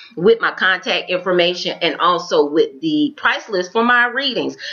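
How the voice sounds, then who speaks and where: Speaking in a Florida accent, a woman moves at a moderate pace while her pitch swings very widely. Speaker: tarot reader. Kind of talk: tarot reading.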